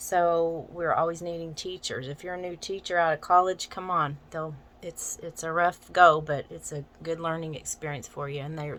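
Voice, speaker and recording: An American accent comes through as a woman talks at a moderate pace with hardly any pauses. Her intonation is fairly even, yet her loudness swings a lot. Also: fairly low pitch for a woman. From US South, Arkansas Ozarks. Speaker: massage therapist and teacher, vlogger. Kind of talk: casual vlog introduction. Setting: getting ready for work while filming.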